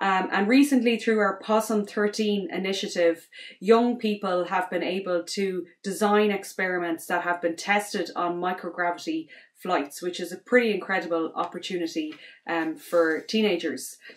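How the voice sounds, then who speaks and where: A woman with an Irish accent speaks at a moderate pace and medium pitch, with ordinary pitch variation. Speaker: space educator and astronaut candidate. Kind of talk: promotional self-introduction. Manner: hesitant, many fillers.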